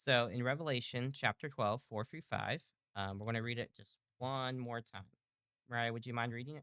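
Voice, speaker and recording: At a moderate pace, a man speaks with a medium pitch and fairly even intonation. His loudness swings widely. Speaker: bible study leader. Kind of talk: interactive bible study. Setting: live stream.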